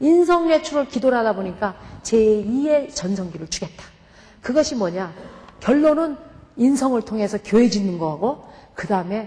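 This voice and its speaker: Pitch swings very widely and loudness varies greatly. The pace is moderate, broken by long, frequent pauses. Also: woman. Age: 50s. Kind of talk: testimony.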